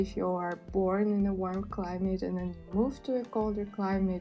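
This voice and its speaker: Monotone, flat speech at a fairly slow pace, with music in the background. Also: woman. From Russia. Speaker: sustainability and mental health vlogger. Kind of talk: casual talk to camera.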